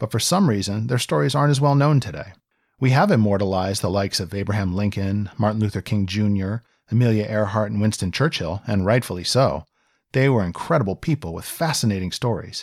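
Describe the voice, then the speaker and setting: Talking at a very fast pace, a man with a Mid-Atlantic American accent uses lively intonation at medium pitch on a very clean recording with a silent background. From Virginia, near Washington DC. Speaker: podcast host. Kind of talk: scripted narration.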